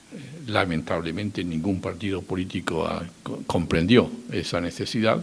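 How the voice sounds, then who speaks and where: Ordinary pitch variation and a moderate pace from a man with a very deep, low pitch. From Spain. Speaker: former political adviser. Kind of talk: public talk. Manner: halting.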